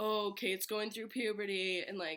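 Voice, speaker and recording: A woman talks at medium pitch. Vocal fry runs through her voice. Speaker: vlogger. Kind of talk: casual chat. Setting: at home, sitting on bedroom floor. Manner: chatty, informal.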